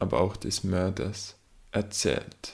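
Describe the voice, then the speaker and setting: A man with a Swiss German accent and vocal fry, very slow and monotone, flat in intonation. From Switzerland. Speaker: aspiring novelist and podcaster. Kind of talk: casual solo talk about writing and books.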